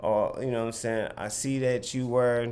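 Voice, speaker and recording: A man talks at a fairly slow pace, with room echo clearly audible. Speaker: clothing brand owner and vlogger. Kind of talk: casual talk to camera, sales advice.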